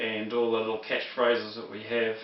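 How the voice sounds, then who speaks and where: The voice comes in a New Zealand accent. Audible room echo and noticeable background noise fill the recording. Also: man. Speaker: religious teacher. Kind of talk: lecture. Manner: halting, many fillers.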